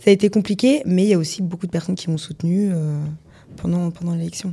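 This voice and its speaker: A woman talks very fast in a fairly low pitch, her voice somewhat breathy. Her pitch varies in an ordinary way. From France, Nancy (Lorraine). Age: 20s. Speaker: model and former beauty queen. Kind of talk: interview.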